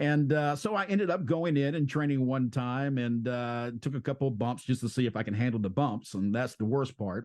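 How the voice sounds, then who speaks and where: A man with an American accent and a plain, everyday voice speaks at a medium pitch and a fairly quick pace, with lively intonation over a quiet background. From US South. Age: 60s. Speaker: pro wrestler and podcast host. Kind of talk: interview.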